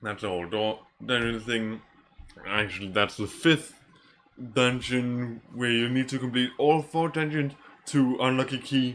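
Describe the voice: In fairly even intonation, a man talks at a fairly slow pace. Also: medium pitch for a man, fairly bright tone.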